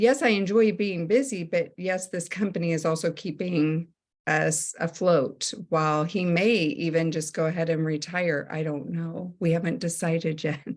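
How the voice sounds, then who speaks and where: Here is a woman with a plain, everyday voice. She speaks with hardly any pauses against a quiet background. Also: fairly low pitch for a woman, ordinary pitch variation, moderate pace. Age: 60s. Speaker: network marketing consultant, former teacher. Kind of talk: sales presentation on a group call.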